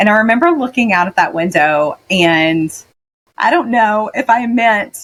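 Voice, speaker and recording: Energetic in tone, a woman speaks with a Southern US accent. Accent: Southern twang. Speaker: medtech sales executive. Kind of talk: interview.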